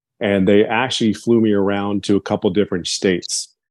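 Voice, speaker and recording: A man with a normal speaking voice keeps a moderate pace, his pitch fairly low. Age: 50s. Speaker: business program member. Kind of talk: testimony.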